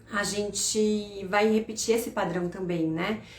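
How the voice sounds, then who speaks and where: A woman speaks with ordinary pitch variation. Audible room echo and noticeable background noise are present. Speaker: financial educator. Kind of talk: live stream talk. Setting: live stream.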